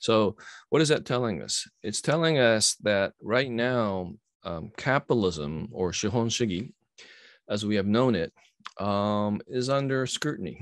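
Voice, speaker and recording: Lively intonation and a medium pitch mark this man's voice, at a fairly slow pace with long, frequent pauses. The sound is dry with no echo, over a quiet background. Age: 60s. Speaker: business executive. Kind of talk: lecture. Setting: stage with audience. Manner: halting. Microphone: webcam.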